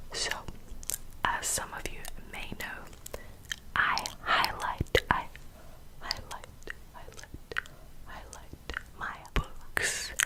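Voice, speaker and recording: Noticeable background noise lies behind a whisper. The whispering moves at a very slow pace, broken by long, frequent pauses. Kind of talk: ASMR whispering. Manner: whispered, soft-spoken.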